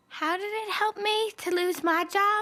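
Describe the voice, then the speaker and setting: In a put-on character voice, a woman speaks at a moderate pace, squeaky and extremely high-pitched, with fairly even intonation. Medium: cartoon.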